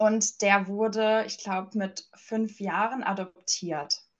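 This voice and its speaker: This woman uses a normal speaking voice with fairly even intonation. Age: 20s. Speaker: life coach and energy healer. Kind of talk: interview.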